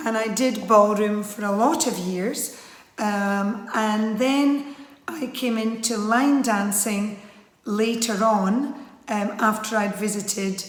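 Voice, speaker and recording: Speaking at a very slow pace with a Scottish accent, a woman with fairly high pitch keeps a fairly even intonation amid audible room echo and noticeable background noise. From Scotland. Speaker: line dance instructor. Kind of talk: interview monologue. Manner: casual with frequent fillers.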